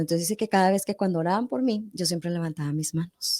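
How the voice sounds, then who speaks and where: A woman speaks with a medium pitch, ordinary pitch variation and a dark, mellow tone. The recording is very clean with a silent background, and the sound is dry and close with no echo. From northern Mexico, Monterrey. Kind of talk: testimony in a podcast interview.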